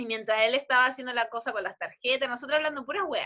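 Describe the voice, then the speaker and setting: Her voice is raised and projected, with a bright, sharp tone. The woman speaks in a Chilean accent with lively intonation. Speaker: podcast co-host. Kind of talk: casual chat. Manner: animated.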